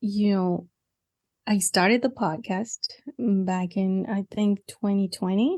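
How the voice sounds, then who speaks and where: In a Mexican accent, a woman speaks at a very slow pace with a dark, mellow tone. The sound is dry and close with no echo, and the background is quiet. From Mexico. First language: Spanish. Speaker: podcaster and ministry coach. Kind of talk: interview conversation.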